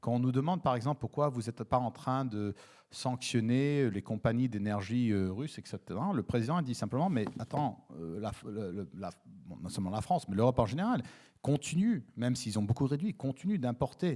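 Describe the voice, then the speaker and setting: A man speaks with a dark, mellow tone and lively intonation. His pace is moderate. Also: medium pitch for a man. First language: English (speaking French). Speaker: diplomat. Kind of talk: panel discussion. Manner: halting, many fillers and repetitions.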